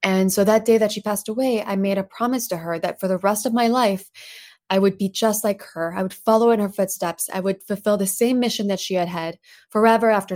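In an American accent, a woman with a medium-pitched voice speaks at a very fast pace. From Paris, France, then Plano, Texas from age 10. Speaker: tech company founder and CEO. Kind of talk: interview. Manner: animated.

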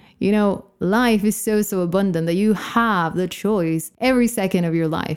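At a fairly slow pace, a woman of medium pitch speaks in an animated, warm tone with ordinary pitch variation, on a very clean recording with a silent background. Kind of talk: pep talk. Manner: warm, rousing and emphatic, repeating phrases for drive; animated, encouraging, heartfelt.

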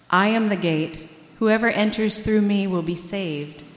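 Medium pitch and ordinary pitch variation from a woman, with audible room echo. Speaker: scripture reader at church service. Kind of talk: reading aloud. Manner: soothing.

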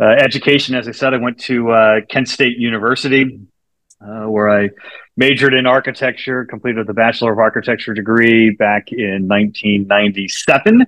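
An American-accented man speaks at a moderate pace and medium pitch. His tone is fairly bright and his intonation fairly even.

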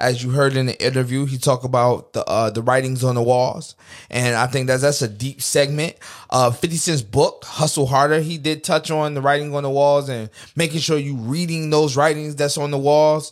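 Speaking at a moderate pace, a man uses an ordinary speaking voice, pitched fairly high, with fairly even intonation. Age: 20s. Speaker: podcast host. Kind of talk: casual monologue.

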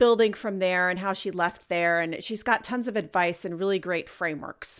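Medium in pitch, a woman's voice carries ordinary pitch variation. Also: very clean recording, silent background. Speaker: podcast host. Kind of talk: solo podcast monologue. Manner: animated.

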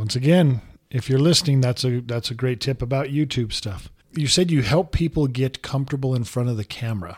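Somewhat breathy, a man talks at a fairly quick pace. The recording is very clean, with a silent background. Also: medium pitch for a man, ordinary pitch variation. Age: 50s. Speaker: podcast host. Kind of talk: interview.

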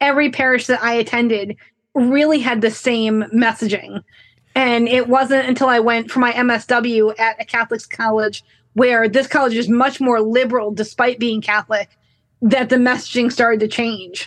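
With very even loudness, a woman speaks at a moderate pace in a fairly high pitch, her intonation monotone and flat. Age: 30s. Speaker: counseling client. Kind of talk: counseling session.

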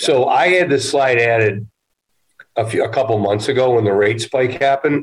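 Speaking at a fairly quick pace, a man with a medium-pitched, somewhat breathy voice keeps his loudness very even while his pitch varies in an ordinary way. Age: 50s. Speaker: real estate investment executive. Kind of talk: casual interview.

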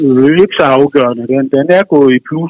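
This man talks at a fairly slow pace. His pitch is medium, with ordinary variation. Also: dry, close sound with no echo. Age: 50s. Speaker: musician and author. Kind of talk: phone interview. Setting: phone call. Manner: hesitant, many fillers.

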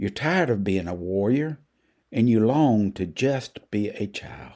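With a Southern US accent, a man speaks very slowly in a dark, mellow, soothing and gentle tone with very wide pitch swings, on a very clean recording with a silent background. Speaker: preacher. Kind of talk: devotional reading, guided meditation prayer. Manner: slow, soothing, gentle; earnest, pastoral.

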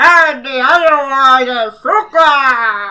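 A put-on character voice pitched high. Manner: comic, exaggerated.

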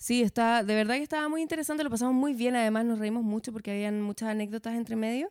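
Lively intonation in a Chilean accent. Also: woman. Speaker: podcast host. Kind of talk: casual interview chat.

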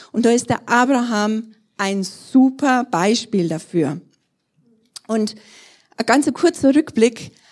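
With long, frequent pauses, a woman speaks very slowly at a fairly high pitch and with lively intonation. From Bavaria, Germany (Trostberg). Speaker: pastor. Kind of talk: sermon.

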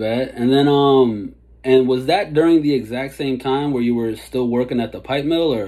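In an unremarkable speaking voice, a man talks at a medium pitch and moderate pace with ordinary pitch variation. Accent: American. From DC and Maryland area. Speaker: hip-hop interviewer. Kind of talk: interview. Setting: video call. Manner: casual.

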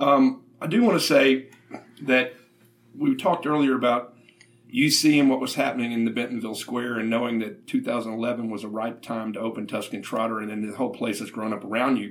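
A man with a Southern US accent at a fairly quick pace, medium in pitch with ordinary variation. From Little Rock, Arkansas. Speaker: podcast host and food writer. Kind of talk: interview.

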